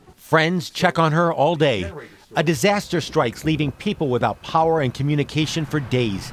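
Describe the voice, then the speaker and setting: In an unremarkable speaking voice, a man with a fairly high pitch talks at a moderate pace with ordinary pitch variation. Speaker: TV news reporter. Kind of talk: TV news report.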